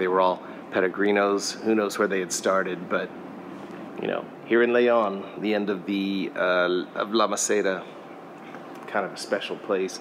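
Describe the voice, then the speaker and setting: Against noticeable background noise, a man speaks at a moderate pace with a fairly low pitch, monotone, flat intonation and long, frequent pauses. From US Midwest, Kansas. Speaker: travel vlogger. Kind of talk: travel vlog narration. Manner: casual, conversational. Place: street. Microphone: phone near.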